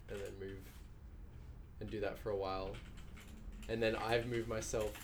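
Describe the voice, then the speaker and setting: The speaker has an Australian accent. Room echo can be heard. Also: man. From Mornington Peninsula, Victoria, Australia. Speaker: game character artist. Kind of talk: casual chat.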